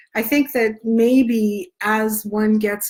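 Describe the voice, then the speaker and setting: Somewhat breathy and fairly high in pitch, a woman's voice comes through on a very clean recording with a silent background. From Spain. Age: 60s. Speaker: travel blogger. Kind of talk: live Q&A. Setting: Facebook live stream.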